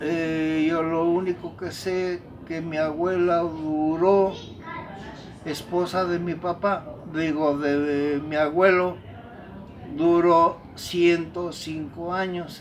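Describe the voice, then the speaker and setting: A man speaks at a very slow pace with a high pitch and monotone, flat intonation, leaving long, frequent pauses. Audible room echo and noticeable background noise surround him. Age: 70s. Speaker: elder telling family history. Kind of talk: oral history interview. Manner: halting.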